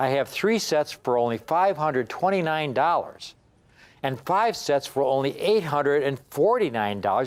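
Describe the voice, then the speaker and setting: A man speaks in an animated tone at a fairly slow pace. His pitch swings very widely. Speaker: coin dealer, TV sales host. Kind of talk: sales pitch.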